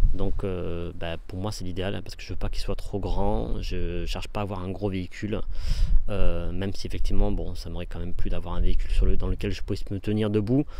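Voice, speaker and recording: A man talks at a fairly quick pace, his loudness swinging widely, with audible echo from the room. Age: 40s. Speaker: vanlife vlogger. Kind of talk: casual video tour. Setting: outdoors. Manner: hesitant, many fillers.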